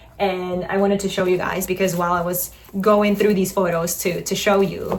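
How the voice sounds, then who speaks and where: A woman talks at a moderate pace, her voice carrying audible room echo over noticeable background noise. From Poland. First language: Polish. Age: 30s. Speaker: lifestyle vlogger. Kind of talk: casual vlog talk to camera. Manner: chatty, self-correcting.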